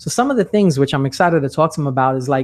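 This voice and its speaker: With a New York accent and an animated tone, a man speaks at a fairly quick pace with ordinary pitch variation against a quiet background. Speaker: sales trainer and podcast host. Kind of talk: podcast interview.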